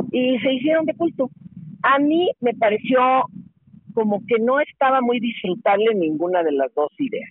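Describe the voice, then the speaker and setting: Speaking with a Mexican accent, a woman uses a high pitch with very wide pitch swings, keeping a moderate pace and very even loudness. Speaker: radio host and journalist. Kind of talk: casual interview.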